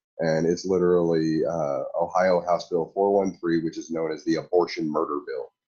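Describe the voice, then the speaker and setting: Moderate-paced speech with music in the background. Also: man. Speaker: online commentator. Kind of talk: commentary on own past discussion. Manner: chews on words, halting.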